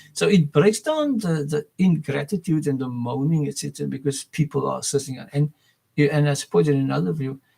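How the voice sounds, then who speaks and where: A fairly high-pitched male voice with a dark, mellow tone, somewhat breathy, at a fairly quick pace with ordinary pitch variation, in a dry, close sound with no echo. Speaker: educator and school founder. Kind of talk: video monologue. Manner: fast; halting, many repetitions and fillers.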